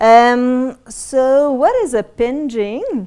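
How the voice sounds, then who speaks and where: A woman with a French accent and ordinary pitch variation, on a very clean recording with a silent background. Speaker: botanical garden curator. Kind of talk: presentation.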